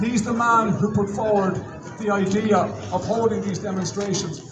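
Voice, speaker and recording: Amid noticeable background noise and audible room echo, a man with an Irish accent talks at high pitch and a moderate pace. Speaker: rally emcee. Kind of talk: rally speech. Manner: loud. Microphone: no microphone.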